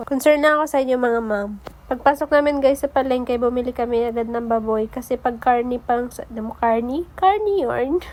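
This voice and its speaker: Noticeable background noise sits under the speech. The pace is fairly quick with hardly any pauses and ordinary pitch variation. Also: woman, high pitch for a woman. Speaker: vlogger. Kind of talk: casual vlog voice-over narration.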